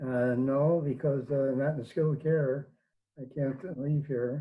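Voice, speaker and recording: The speaker sounds somewhat breathy, keeping a moderate pace and fairly even intonation. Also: man. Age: 80s+. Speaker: priest and theology teacher. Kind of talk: interview. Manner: halting, many fillers.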